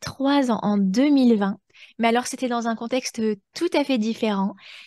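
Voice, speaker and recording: With a normal speaking voice, a woman talks at a moderate pace and fairly high pitch, varying it in an ordinary way. The sound is dry and close, with no echo. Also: quiet background. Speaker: podcast host. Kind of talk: conversational interview.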